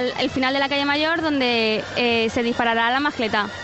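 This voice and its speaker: Noticeable background noise accompanies a woman speaking at a moderate pace. Her intonation stays fairly even. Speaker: radio reporter. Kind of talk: live field report. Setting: outdoors in town square.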